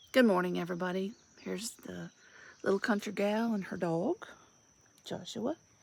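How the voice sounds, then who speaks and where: Speaking with an Alabama accent, a woman at a medium pitch keeps a moderate pace and ordinary pitch variation, with big swings in loudness and long, frequent pauses. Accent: Southern US (Alabama). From US South, rural Alabama. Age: 60s. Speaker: vlogger, retired police officer and Navy veteran. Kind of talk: casual monologue vlog.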